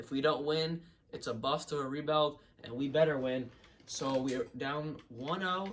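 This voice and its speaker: Speaking in a Boston accent at a fairly slow pace, a man with a fairly high pitch sounds animated and uses ordinary pitch variation. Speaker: gaming YouTuber. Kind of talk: video game commentary.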